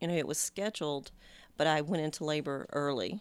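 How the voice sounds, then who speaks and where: Pitch rises and falls in a typical way. The audio is very clean and the background is silent. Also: woman. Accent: Texas. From Texas. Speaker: mother of the host. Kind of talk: casual chat.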